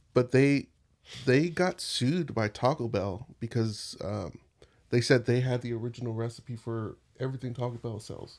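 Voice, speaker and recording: This man has an ordinary speaking voice at medium pitch, with ordinary pitch variation and a moderate pace. The recording is very clean, the background silent. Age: 30s. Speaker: podcast host and Twitch streamer. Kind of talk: casual chat. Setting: studio.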